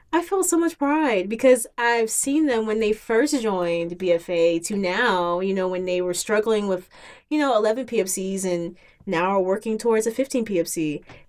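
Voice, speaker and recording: An ordinary speaking voice with an American accent, lively intonation and a fairly slow pace. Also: woman, fairly high pitch for a woman. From Virginia, US (Hampton area). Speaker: rhythm game community organizer. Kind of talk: casual podcast chat.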